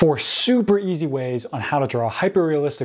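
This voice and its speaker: A man with a fairly high pitch speaks at a moderate pace with lively intonation over noticeable background noise. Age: 20s. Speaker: art tutorial youtuber. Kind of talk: tutorial.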